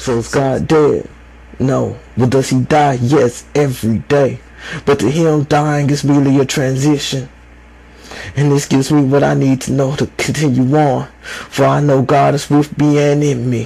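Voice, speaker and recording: A fairly high-pitched man at a fairly slow pace, with monotone, flat intonation, very even loudness, and noticeable background noise. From United States. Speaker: spoken word poet. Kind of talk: slam poetry performance.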